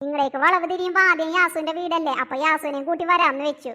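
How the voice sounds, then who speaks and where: Putting on a cartoonish character voice, a woman sounds squeaky at an extremely high pitch with fairly even intonation. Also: moderate pace. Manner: chatty.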